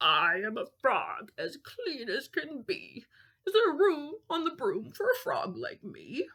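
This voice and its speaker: A woman's put-on character voice, extremely high-pitched and croaky, at a fairly slow pace. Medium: read story.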